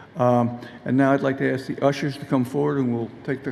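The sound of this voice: This man's medium-pitched voice has vocal fry, a slightly mellow tone and little pitch movement. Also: fairly quick pace.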